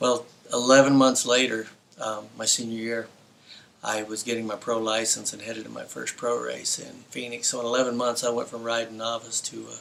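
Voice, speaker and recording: Monotone and flat, a man speaks at a fairly quick pace in a medium pitch, with big swings in loudness. Noticeable background noise is present. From New Mexico, US (Las Cruces). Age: 60s. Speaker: former pro motocross racer. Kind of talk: interview storytelling. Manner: hesitant, with fillers.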